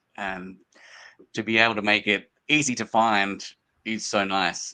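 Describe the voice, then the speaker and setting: With an Australian accent, a man talks fairly slowly in a fairly low voice. His tone is bright and sharp, and his intonation is fairly even. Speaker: small book publisher. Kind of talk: interview.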